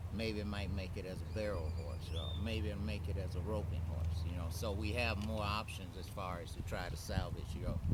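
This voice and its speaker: A man with a very deep, low pitch talks at a moderate pace with hardly any pauses and fairly even intonation. Audible room echo and noticeable background noise come through. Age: 70s. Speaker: retired horse breeder. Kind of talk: interview.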